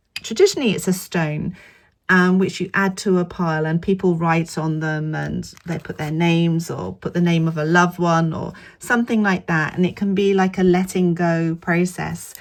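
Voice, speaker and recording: A woman's fairly low voice with an English accent, fairly even intonation and a moderate pace, on a very clean recording over a silent background. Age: 50s. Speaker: vlogger. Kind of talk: casual vlog talk to camera.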